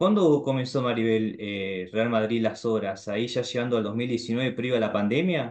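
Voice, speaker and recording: A man with a Rioplatense accent, at a moderate pace with hardly any pauses, ordinary pitch variation and a quiet background. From Argentina. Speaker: YouTuber. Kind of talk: casual chat. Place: home room. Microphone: video call.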